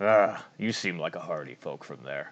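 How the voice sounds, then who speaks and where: A man's raspy, fairly low put-on character voice at a moderate pace. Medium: actual play. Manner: measured, pensive.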